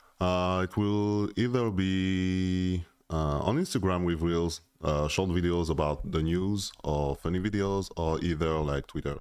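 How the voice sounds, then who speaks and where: Speaking at a fairly slow pace, a man with a very deep, low voice keeps his loudness very even and his intonation fairly even. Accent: French. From France. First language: French. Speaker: interviewee. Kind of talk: user interview. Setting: in a room with a mic. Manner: hesitant, many filler sounds.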